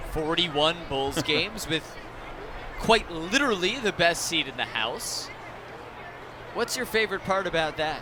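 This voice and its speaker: The speech comes at a fairly slow pace with long, frequent pauses. There is noticeable background noise. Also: man, high pitch for a man. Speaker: baseball TV broadcaster. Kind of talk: live baseball broadcast banter and interview.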